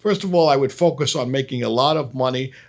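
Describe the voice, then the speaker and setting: A man with a Brooklyn accent talks fairly quickly at a fairly high pitch with ordinary pitch variation. The recording is very clean, with a silent background. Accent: New York (Brooklyn). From Brooklyn, New York. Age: 60s. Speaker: comedian. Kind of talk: casual storytelling to camera.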